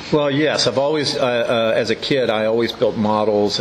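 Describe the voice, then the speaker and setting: There is noticeable background noise in this clip. The man speaking shows ordinary pitch variation. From Maryland, Hagerstown. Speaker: dobro luthier. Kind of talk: interview. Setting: eating gelato at a shop.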